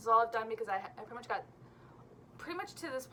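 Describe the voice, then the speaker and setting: Lively intonation from a woman, with noticeable background noise behind her. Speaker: knitting podcast host. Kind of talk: casual chat. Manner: fast; energetic.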